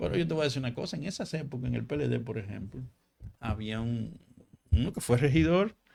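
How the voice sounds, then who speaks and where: Speaking with a Dominican accent, a man talks at a fairly quick pace with long, frequent pauses, his medium-pitched voice dark and mellow in tone, touched by vocal fry and swinging very widely in pitch. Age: 60s. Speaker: local party leader. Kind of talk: interview.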